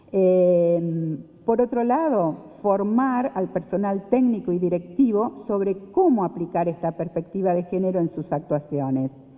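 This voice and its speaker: A woman talks fairly slowly, with hardly any pauses. Her medium-pitched voice has lively intonation. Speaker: panel speaker on social security. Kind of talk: conference talk. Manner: hesitant, many fillers.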